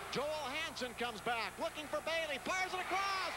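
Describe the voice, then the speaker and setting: Projecting a raised voice over loud background noise, a man speaks at an extremely high pitch with ordinary pitch variation, and the sound is dry with no echo. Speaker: play-by-play announcer. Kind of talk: live sports commentary.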